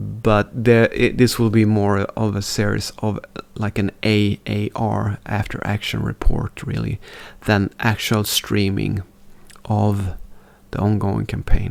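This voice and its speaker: With a non-native accent, a man speaks at a very slow pace and fairly low pitch, his intonation monotone and flat. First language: not English. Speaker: strategy game streamer. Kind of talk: gameplay commentary. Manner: halting.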